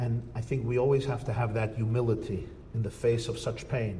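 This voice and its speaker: A man with an American accent speaks at a medium pitch with vocal fry. Audible room echo is present. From United States. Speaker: rabbi lecturer. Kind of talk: lecture.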